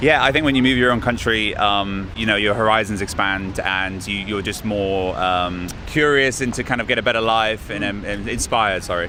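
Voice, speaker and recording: Moderate pace in a southern English accent, with ordinary pitch variation, hardly any pauses, audible room echo, and noticeable background noise. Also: man, fairly low pitch for a man. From southern England, Brighton. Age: 30s. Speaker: musician. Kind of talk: street interview.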